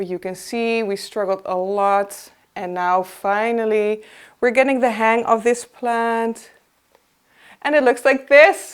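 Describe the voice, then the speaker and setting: With a non-native accent, a woman speaks with ordinary pitch variation. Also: very clean recording, silent background. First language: not English. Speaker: plant collector, video host. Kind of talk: casual show-and-tell tutorial. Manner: halting, many fillers.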